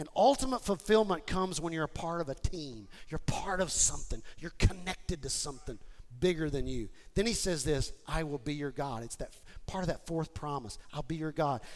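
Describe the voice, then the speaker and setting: A man speaks in an animated tone with lively intonation. His pitch is fairly high and his pace fairly quick. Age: 50s. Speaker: pastor. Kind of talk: sermon.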